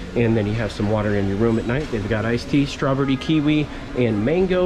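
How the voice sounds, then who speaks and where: A man speaks at a moderate pace, his pitch varying in an ordinary way, with noticeable background noise behind him. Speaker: travel vlogger. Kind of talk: casual vlog tour commentary. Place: hall. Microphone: phone near.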